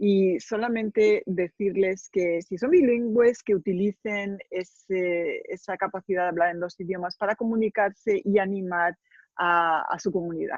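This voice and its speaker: A woman with a Spanish accent talks at a moderate pace and medium pitch with fairly even intonation and hardly any pauses, the sound dry and close with no echo. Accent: Spanish accent from Spain. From Spain. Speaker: author and journalist. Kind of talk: interview.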